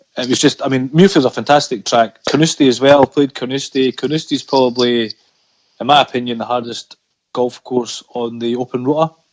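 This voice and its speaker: Dry and close with no echo, a medium-pitched man in a Scottish accent speaks at a fairly quick pace with fairly even intonation. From Scotland. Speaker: amateur golfer. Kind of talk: podcast interview answer.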